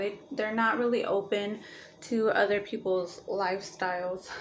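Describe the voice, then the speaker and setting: A woman's fairly high voice at a moderate pace, fairly even intonation, and noticeable background noise. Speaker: astrology vlogger. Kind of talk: casual vlog monologue. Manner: hesitant, many fillers.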